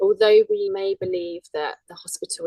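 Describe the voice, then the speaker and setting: With a dry, close sound and no echo, a woman speaks at a moderate pace. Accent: British. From UK. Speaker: birth doula and yoga and meditation teacher. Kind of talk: casual interview chat.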